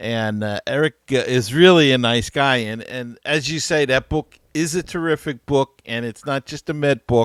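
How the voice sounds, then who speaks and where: At a moderate pace, a man speaks in an unremarkable speaking voice, medium in pitch with ordinary pitch variation. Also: dry, close sound with no echo, very clean recording, silent background. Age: 60s. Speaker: radio host. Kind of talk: casual chat.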